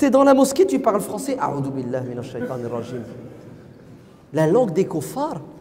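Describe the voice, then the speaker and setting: Amid noticeable background noise and audible room echo, a man speaks in an animated tone at a moderate pace. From France. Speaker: preacher. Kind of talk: lecture.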